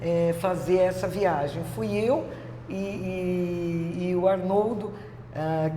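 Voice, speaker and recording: A woman speaks in a fairly low pitch. Noticeable background noise and audible room echo surround her voice. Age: 60s. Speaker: yoga instructor, former journalist. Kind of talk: interview, personal story. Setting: her yoga studio. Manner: hesitant, many filler sounds.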